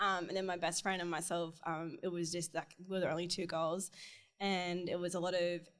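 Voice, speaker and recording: A woman's fairly low, monotone voice with an Australian accent, flat intonation, very even loudness and a fairly quick pace, on a very clean recording with a silent background. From Australia, rural Newcastle area (Minmi). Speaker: interior designer. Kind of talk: casual interview chat.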